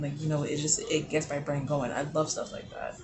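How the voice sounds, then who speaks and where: A man's fairly high voice at a fairly quick pace, with noticeable background noise and audible room echo. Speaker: lifestyle vlogger. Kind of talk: casual chat.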